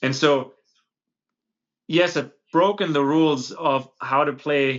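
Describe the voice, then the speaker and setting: Speaking with a German accent, a man uses a fairly high pitch and ordinary pitch variation. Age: 30s. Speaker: podcast host. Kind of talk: interview conversation.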